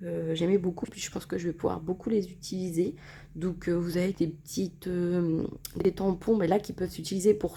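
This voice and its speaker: The voice has a dark, mellow tone, is somewhat breathy and keeps a fairly even intonation. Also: woman. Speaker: scrapbooking YouTuber. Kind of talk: product haul presentation. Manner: hesitant, many fillers.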